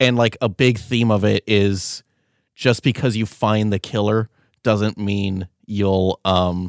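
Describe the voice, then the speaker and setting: In an ordinary speaking voice, a man speaks at a fairly slow pace and fairly low pitch with fairly even intonation, on a very clean recording with a silent background and a dry, close sound with no echo. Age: 20s. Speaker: podcast co-host. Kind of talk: casual chat.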